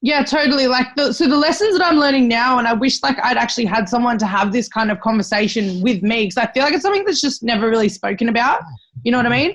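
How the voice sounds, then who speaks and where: A high-pitched woman's voice at a very fast pace, with lively intonation, very even loudness and noticeable background noise. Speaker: personal trainer. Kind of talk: casual chat. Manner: loud, yelling; animated.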